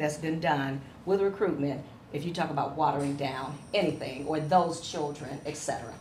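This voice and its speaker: A woman with an American accent speaks at a moderate pace in a very deep, low voice with ordinary pitch variation. Room echo is audible. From Cleveland, Ohio, US Midwest. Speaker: education professor. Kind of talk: lecture. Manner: animated.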